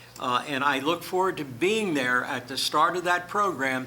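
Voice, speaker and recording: A man speaks at a moderate pace. Noticeable background noise and audible room echo surround him. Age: 80s+. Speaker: city councilman. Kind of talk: council meeting remarks. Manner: halting.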